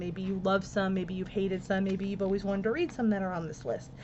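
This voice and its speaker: Noticeable background noise behind a speaking woman. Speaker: book video creator. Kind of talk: casual book talk with blurb reading.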